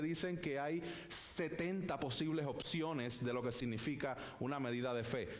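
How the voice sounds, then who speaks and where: A Puerto Rican accent with ordinary pitch variation, plus audible room echo and noticeable background noise. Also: man. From Puerto Rico. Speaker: pastor. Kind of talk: sermon. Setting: church.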